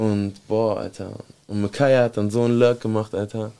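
The man's voice has a dark, mellow tone. It sits at a medium pitch. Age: 30s. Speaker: podcast host. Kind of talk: casual chat. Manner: animated.

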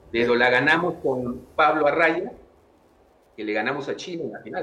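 A man with a fairly high pitch speaks at a fairly quick pace over noticeable background noise. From Peru. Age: 60s. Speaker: tennis coach. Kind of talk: interview.

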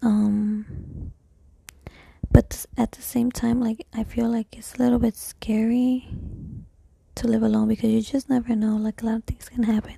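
Long pauses come often, though the talking itself keeps a moderate pace. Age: 20s. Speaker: solo vlogger. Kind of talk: casual monologue. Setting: at home. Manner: rambling, halting. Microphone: cheap microphone.

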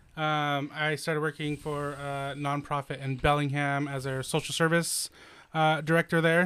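With an American accent, a man speaks at a fairly high pitch in a monotone, flat intonation, on a very clean recording with a silent background. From Washington State, US. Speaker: foster parent. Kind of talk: casual chat. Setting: studio. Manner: loud.

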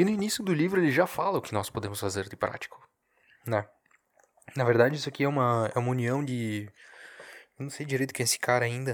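Quiet and strained, a man with a medium pitch and lively intonation rushes at a very fast pace yet takes long, frequent pauses. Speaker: podcaster. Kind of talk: casual solo monologue. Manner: subdued, low energy; restrained, quieter delivery.

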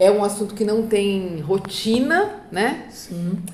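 Noticeable background noise and audible room echo fill the recording. A woman speaks at a medium pitch with ordinary pitch variation. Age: 40s. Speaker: trademark and patent consultant. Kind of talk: casual interview. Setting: office, in person.

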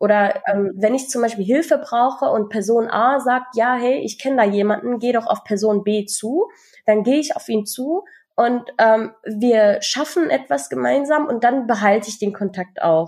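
A woman speaks in an ordinary speaking voice at a fairly high pitch. Her intonation is lively and her pace moderate. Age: 20s. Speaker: podcast co-host. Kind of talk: casual chat.

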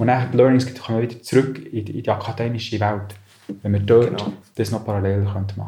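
With a Bernese accent, a man speaks very fast at a fairly low pitch in a monotone, flat delivery, with noticeable background noise behind him. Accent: Bernese Swiss German. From Switzerland, Bern area. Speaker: business manager. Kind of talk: interview.

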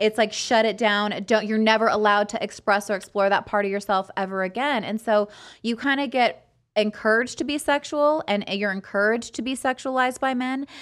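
Speaking in a normal speaking voice with an American accent, a woman goes at a fairly quick pace with a fairly high pitch and ordinary pitch variation, on a very clean recording with a silent background. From California (Fresno). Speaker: podcast host. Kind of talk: casual chat.

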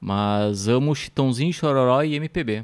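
Speaking very slowly at a medium pitch, a man shows ordinary pitch variation on a very clean recording with a silent background. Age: 30s. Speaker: podcast host. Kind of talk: casual interview.

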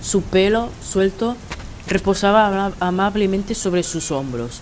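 A woman's voice, with ordinary pitch variation, plays against noticeable background noise. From Spain. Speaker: writer. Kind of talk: reading aloud.

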